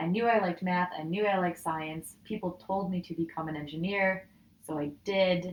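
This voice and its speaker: A woman speaks with a Midwestern US accent. Her pitch is fairly low and her intonation fairly even. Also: moderate pace. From Michigan, US Midwest. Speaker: data scientist. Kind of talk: casual interview chat.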